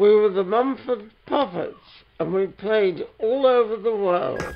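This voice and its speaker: A man speaks in a high voice at a very slow pace, with noticeable noise in the background. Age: 90s. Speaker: retired marionette puppeteer. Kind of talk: documentary interview, casual chat.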